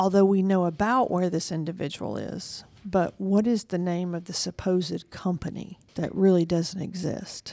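Over a silent background in a very clean recording, a woman with a Southern US accent speaks at a moderate pace with hardly any pauses, her medium-pitched, dark, mellow tone keeping fairly even intonation. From Georgia, US South. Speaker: private investigator and show host. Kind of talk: interview.

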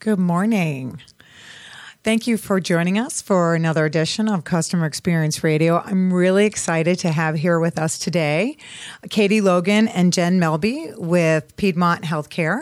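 A woman with an unremarkable speaking voice talks at a moderate pace in a fairly low pitch. Her loudness stays very even, and her pitch varies in an ordinary way. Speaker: radio host. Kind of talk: radio interview. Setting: studio.

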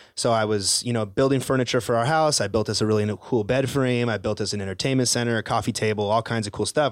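On a very clean recording with a silent background, a man with an American accent speaks very fast at a fairly low pitch with fairly even intonation. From Tucson, Arizona. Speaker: building contractor. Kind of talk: casual chat. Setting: studio.

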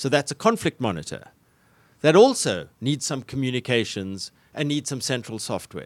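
With lively intonation, vocal fry and a South African accent, the voice comes through dry and close with no echo on a very clean recording against a silent background. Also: man, medium pitch for a man, moderate pace. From South Africa, Cape Town. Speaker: tech company founder and civil engineer. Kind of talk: business radio interview. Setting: studio.

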